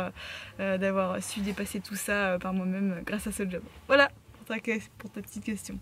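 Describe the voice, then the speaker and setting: With a somewhat breathy tone, a woman speaks at a medium pitch in a monotone, flat intonation. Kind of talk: casual Q&A vlog. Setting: in a car. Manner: hesitant, many fillers and repeated words; sometimes stutters, talks fast.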